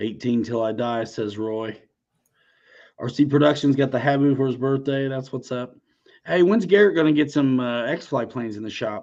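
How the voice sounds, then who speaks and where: Against a quiet background, a man with a normal speaking voice talks at a moderate pace, his medium pitch showing ordinary variation. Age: 40s. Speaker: RC aircraft YouTuber and livestream host. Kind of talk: casual livestream chat.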